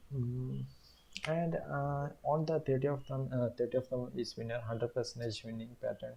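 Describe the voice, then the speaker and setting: The voice has a dark, mellow tone and is somewhat breathy. It moves at a moderate pace with fairly even intonation. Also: man, medium pitch for a man. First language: not English. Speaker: day trader, YouTuber. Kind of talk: trading tutorial. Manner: halting, many fillers.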